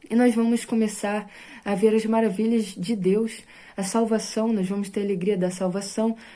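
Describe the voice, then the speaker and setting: Amid audible room echo, a woman talks at a moderate pace with a fairly high pitch, a dark, mellow tone and monotone, flat intonation. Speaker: evangelical preacher. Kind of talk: bible study sermon.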